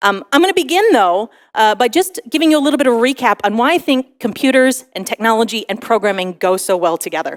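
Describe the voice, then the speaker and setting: Very fast and with hardly any pauses, a woman with an American accent speaks at a fairly high pitch. Her pitch swings very widely, and the sound is dry and close with no echo. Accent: American accent, noticeable to others. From United States. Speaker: tech conference speaker, solutions architect manager. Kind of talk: conference talk. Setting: stage with audience.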